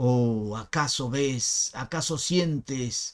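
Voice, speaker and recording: A man is speaking. His tone is dramatic. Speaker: poetry reader and channel host. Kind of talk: poem reading, slow and expressive, after a spoken biographical introduction. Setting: home recording, screen-recorded video. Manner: measured, slow, dramatic and intimate delivery; reflective, with pauses and some hesitations. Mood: expressive, declamatory. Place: home room. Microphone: webcam.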